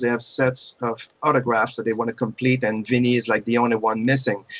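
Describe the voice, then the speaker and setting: This man talks with a non-native accent. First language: not English. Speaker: podcast co-host. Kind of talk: casual chat.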